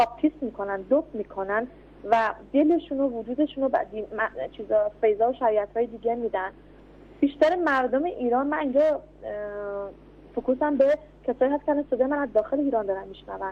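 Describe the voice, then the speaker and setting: A woman speaks in a high voice at a very fast pace, with ordinary pitch variation. Her speech has long, frequent pauses. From Iran. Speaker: political activist. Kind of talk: radio interview.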